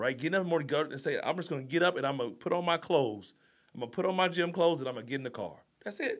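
A man with vocal fry speaks at a very fast pace and fairly high pitch with lively intonation. The recording is very clean, with a silent background. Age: 40s. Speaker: life coach and Marine Corps veteran. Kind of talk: casual interview chat. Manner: animated, high energy.

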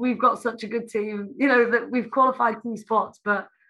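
Against a quiet background, a woman speaks in a South Welsh accent at a fairly high pitch. Her tone is bright and sharp, and her pace fairly quick. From South Wales. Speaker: Olympic taekwondo athlete. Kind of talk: interview.

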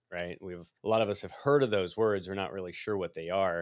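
In a very clean recording with a silent background, a man speaks with a Midwestern American accent. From US Midwest. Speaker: microphone company representative. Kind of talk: interview.

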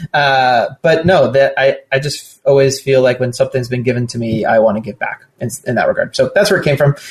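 With an American accent, the speaker talks fairly quickly and somewhat breathily, with hardly any pauses and ordinary pitch variation. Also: man, medium pitch for a man. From Southern California. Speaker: startup founder and venture investor. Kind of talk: casual interview conversation.

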